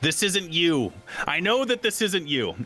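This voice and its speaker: Here a man does a put-on character voice, high-pitched and strained. He keeps a moderate pace. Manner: pleading through a squeezed throat.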